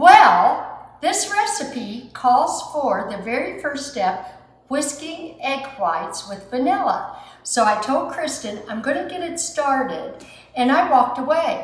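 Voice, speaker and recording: Over noticeable background noise and audible room echo, the voice moves at a very slow pace, with very wide pitch swings and big swings in loudness. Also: woman, high pitch for a woman. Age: 60s. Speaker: home baker, cooking show host. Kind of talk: cooking tutorial. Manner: chatty, animated.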